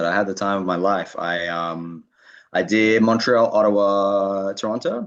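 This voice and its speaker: Against a quiet background, a man speaks at a moderate pace. His voice sits fairly low. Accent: Australian. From Australia, Sydney. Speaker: comedian. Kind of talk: interview.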